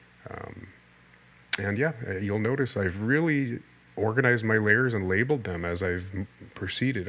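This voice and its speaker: This man has an unremarkable speaking voice, pitched fairly low. He talks at a moderate pace with ordinary pitch variation. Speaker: art instructor. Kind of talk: tutorial voiceover. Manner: casual, with fillers and repetitions.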